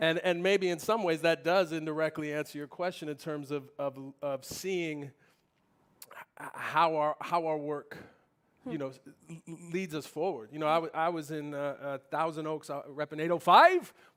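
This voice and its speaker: Speaking at a moderate pace, a man with a plain, everyday voice uses fairly even intonation at a fairly high pitch. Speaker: poet and spoken word performer. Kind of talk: panel conversation on stage.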